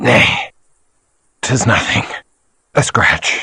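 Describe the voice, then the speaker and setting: A man puts on a raspy character voice. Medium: video game. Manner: archaic formal speech.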